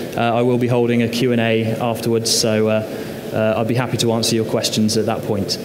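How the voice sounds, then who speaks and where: A man's fairly quick speech comes through noticeable background noise. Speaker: presenter. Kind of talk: conference presentation. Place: stage.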